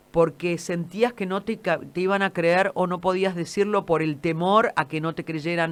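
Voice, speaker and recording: This woman's pitch is fairly low. She speaks at a moderate pace. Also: hardly any pauses. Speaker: radio host. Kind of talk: radio interview.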